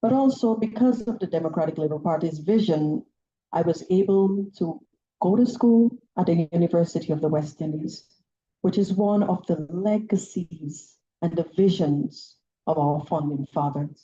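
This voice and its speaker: A woman with a Saint Lucian accent speaks at a moderate pace with lively intonation. Her voice is fairly low, somewhat breathy, and dark and mellow in tone. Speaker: politician. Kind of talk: political speech.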